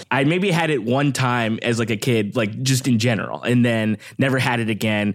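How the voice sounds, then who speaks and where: A man with a Californian accent at a fairly quick pace. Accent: Californian American. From Southern California, Downey/Long Beach area. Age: 30s. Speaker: podcast guest. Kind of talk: casual chat.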